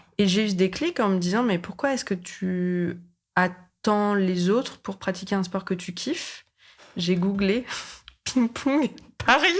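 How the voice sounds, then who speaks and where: On a very clean recording with a silent background, a woman speaks at a very slow pace and medium pitch, with ordinary pitch variation and big swings in loudness. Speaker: podcaster. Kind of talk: casual chat. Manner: animated.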